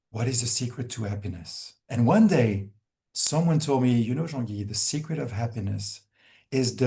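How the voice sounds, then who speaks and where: Lively intonation marks this man's medium-pitched voice. His tone is dark and mellow, and somewhat breathy. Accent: French. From France. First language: French. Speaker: wellness organization founder. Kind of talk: webinar Q&A answer. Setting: video call. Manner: halting with repetitions.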